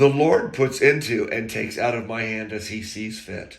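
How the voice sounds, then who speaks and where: A man puts on a booming character voice at medium pitch and a moderate pace. His loudness swings widely while his intonation stays fairly even. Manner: bullhorn-like, declaiming.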